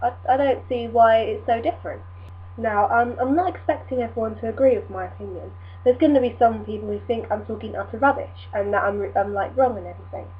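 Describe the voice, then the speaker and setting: A woman with an English accent talks at a very fast pace. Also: big swings in loudness. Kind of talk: casual talk to camera.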